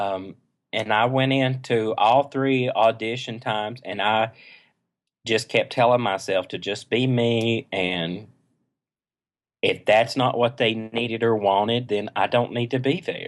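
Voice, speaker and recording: A man talks in an East Tennessee accent. His pace is fairly slow and his intonation fairly even. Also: medium pitch for a man. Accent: East Tennessee Southern. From East Tennessee, near Knoxville. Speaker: choral conducting doctoral student. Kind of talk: podcast interview.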